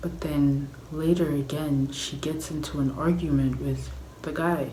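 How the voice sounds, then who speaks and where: Whispering and soft-spoken, a woman talks at a fairly slow pace. Room echo is audible, along with noticeable background noise. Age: 20s. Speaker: vlogger. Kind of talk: casual vlog chat. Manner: whispering, soft.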